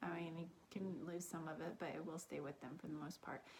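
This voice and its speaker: A woman with an American accent, a plain, everyday voice, fairly low in pitch, with ordinary pitch variation. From Kansas and Texas. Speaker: fitness vlogger, triathlete. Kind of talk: personal story. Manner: casual, many fillers.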